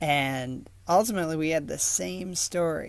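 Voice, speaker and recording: A man with an American accent has a plain, everyday voice. His pitch is fairly high and his pace fairly slow. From West Michigan. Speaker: listener telling own story. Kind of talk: self-recorded storytelling.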